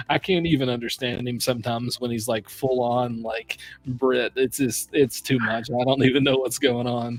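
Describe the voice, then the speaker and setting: Someone with an American accent talks at a moderate pace with hardly any pauses. Music plays in the background. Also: man, medium pitch for a man. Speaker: whiskey reviewer, stream host. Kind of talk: casual chat. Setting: live stream.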